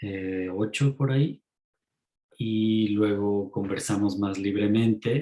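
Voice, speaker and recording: A man's dark, mellow tone at a fairly low pitch and a very slow pace. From Mexico. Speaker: author and ecopsychology teacher. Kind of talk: talk in an online lecture series.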